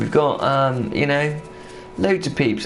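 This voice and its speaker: In a room with audible echo and noticeable background noise, a man with a Bristolian accent speaks at a fairly slow pace. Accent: mild Bristolian. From southwest England, Bristol. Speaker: gaming streamer. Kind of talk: live gameplay commentary. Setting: live stream. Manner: animated.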